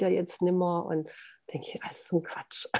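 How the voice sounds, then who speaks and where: A woman's fairly low pitch and dark, mellow tone come through at a moderate pace. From southern Germany (Hohenlohe). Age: 60s. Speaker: author. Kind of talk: interview.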